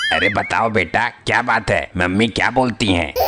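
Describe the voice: A man shouts in a cartoonish character voice at a moderate pace. Loud background noise fills the clip. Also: medium pitch for a man.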